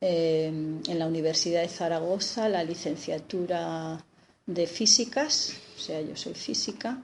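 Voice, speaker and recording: A woman with a fairly low voice talks very slowly, her pitch varying in an ordinary way. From Spain, Aragon (Teruel province). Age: 60s. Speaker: physicist and historian of science. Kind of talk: interview.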